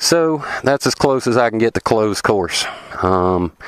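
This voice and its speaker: A man speaks with a Southern US accent. The sound is dry and close, with no echo. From US South. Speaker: motorcycle vlogger. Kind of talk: tutorial. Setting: outdoors. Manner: hesitant, many fillers.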